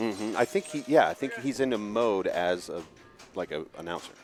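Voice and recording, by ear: Over music in the background, a man talks at a moderate pace. His medium-pitched voice has lively intonation.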